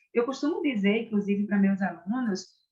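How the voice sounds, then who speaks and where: A woman speaks with a Pernambuco accent and lively intonation. Her voice is somewhat breathy. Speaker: orthodontics professor. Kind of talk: interview.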